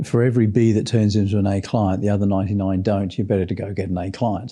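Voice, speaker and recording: Very fast speech from a man with a New Zealand accent, fairly low in pitch, dark and mellow in tone, monotone with flat intonation, over a quiet background. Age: 60s. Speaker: sales trainer. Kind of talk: podcast interview.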